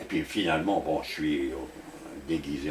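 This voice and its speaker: A man at a fairly slow pace with very wide pitch swings, over noticeable background noise. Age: 80s+. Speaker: doctor and author. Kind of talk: interview. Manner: halting.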